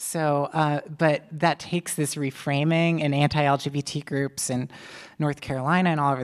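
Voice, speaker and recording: At a moderate pace, a woman talks with a very deep, low pitch and fairly even intonation. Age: 30s. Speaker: author and journalist. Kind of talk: live onstage interview. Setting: stage with audience.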